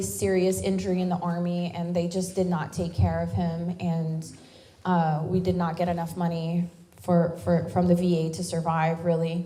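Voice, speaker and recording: In a Louisiana accent, a woman with a fairly low pitch and a dark, mellow, somewhat breathy tone speaks at a moderate pace amid audible room echo. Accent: Southern US (Louisiana). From US South, Louisiana bayou. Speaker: military veteran and activist. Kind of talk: speech at a town hall.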